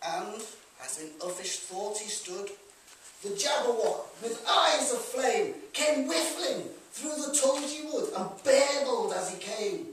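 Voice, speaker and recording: A man speaks at an extremely high pitch in a Liverpool accent, very slowly, with very wide pitch swings and big swings in loudness, over light background noise in a room with strong echo. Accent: Liverpool (Scouse). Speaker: performer. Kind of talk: poetry reading. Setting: live venue. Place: hall. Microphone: camera far.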